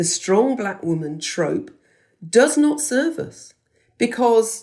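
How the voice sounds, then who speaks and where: Speaking at a very slow pace in a British accent, a woman lets her pitch swing very widely. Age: 60s. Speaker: podcast host, former teacher. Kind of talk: interview answer.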